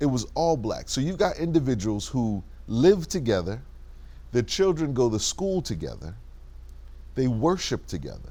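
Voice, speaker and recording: With a dark, mellow tone and vocal fry, a man at medium pitch moves at a moderate pace through very wide pitch swings and long, frequent pauses. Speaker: interview host, civic organization vice president. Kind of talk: interview question.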